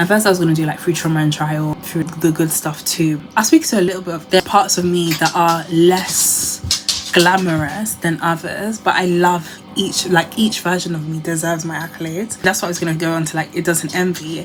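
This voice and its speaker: The speech moves at a moderate pace with hardly any pauses and monotone, flat intonation. Music plays in the background. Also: woman, fairly low pitch for a woman. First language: not English. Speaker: lifestyle vlogger. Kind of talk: casual chat. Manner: rambling conversational.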